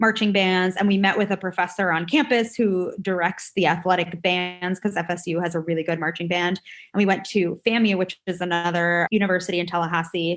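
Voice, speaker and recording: On a very clean recording with a silent background, a woman talks at a medium pitch. Her pace is fairly quick. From New York. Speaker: dance artist and choreographer. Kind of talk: casual interview. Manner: fast; animated.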